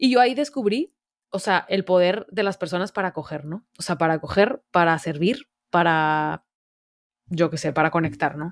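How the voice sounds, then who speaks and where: A woman with a fairly low pitch and a northern Mexican accent speaks at a moderate pace in an animated tone with lively intonation, on a very clean recording with a silent background. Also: dry, close sound with no echo. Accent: northern Mexican (Monterrey). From Monterrey, northern Mexico. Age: 20s. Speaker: university student and service project founder. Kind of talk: casual interview.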